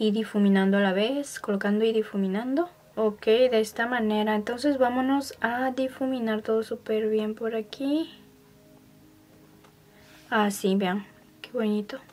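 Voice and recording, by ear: A woman speaks at a fairly slow pace, her fairly high pitch carrying a slightly mellow tone and fairly even intonation.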